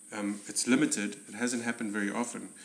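A man's fairly low, monotone, flat voice at a fairly quick pace, over noticeable background noise. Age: 40s. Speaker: stunt and special effects coordinator. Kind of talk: casual chat.

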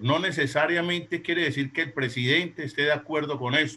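Bright and sharp in tone, a man speaks at a fairly high pitch with ordinary pitch variation. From Colombia. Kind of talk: question on live stream. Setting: video call.

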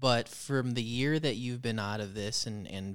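A man's plain, everyday voice, medium pitch, ordinary pitch variation, moderate pace. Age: 20s. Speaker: podcast co-host. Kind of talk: casual chat.

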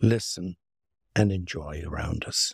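In an Irish accent, a man speaks at a fairly slow pace on a very clean recording with a silent background, the sound dry and close with no echo. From Ireland, Limerick. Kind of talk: interview conversation.

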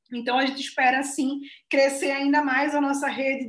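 This is a woman speaking. Her pitch is high. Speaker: founder of an online biology education company. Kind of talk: interview.

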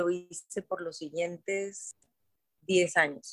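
A woman speaks very slowly at a medium pitch. The sound is dry and close, with no echo. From Mexico, Guadalajara (Jalisco). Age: 50s. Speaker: wellness center founder. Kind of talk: interview.

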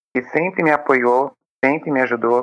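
A woman speaks here. Her pitch sits very deep and low. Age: 30s. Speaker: volunteer, recovering addict. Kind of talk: interview testimony.

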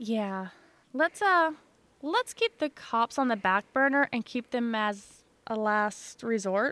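An ordinary speaking voice from a woman with an American accent, fairly high in pitch with ordinary pitch variation, at a fairly slow pace, in a dry, close sound with no echo. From Illinois. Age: 30s. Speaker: podcast co-host. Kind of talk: casual chat.

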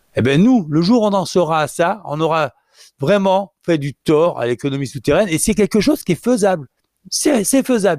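With lively intonation and a high pitch, a man speaks in a dry, close recording with no echo. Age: 50s. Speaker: cannabis activist. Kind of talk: interview. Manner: halting.

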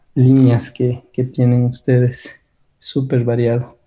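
In a dark, mellow tone with some breathiness, a man speaks at medium pitch with flat, monotone intonation. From Ecuador. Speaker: workshop lecturer. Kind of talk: online seminar lecture.

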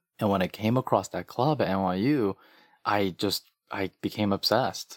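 With an American accent, a man speaks in an ordinary speaking voice at a fairly low pitch with ordinary pitch variation, captured in a very clean recording with a silent background and a dry, close sound with no echo. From New York (Queens, Flushing). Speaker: nonprofit chief executive. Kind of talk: interview.

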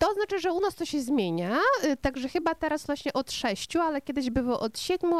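A woman with a Ukrainian accent talks at a very fast pace with very wide pitch swings, recorded with a dry, close sound and no echo. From western Ukraine. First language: Ukrainian (speaking Polish). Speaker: restaurant owner and radio presenter. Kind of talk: interview with children.

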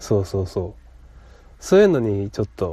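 With a Kansai accent, a man speaks in a dark, mellow tone with very wide pitch swings. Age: 20s. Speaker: podcast host. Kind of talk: casual chat.

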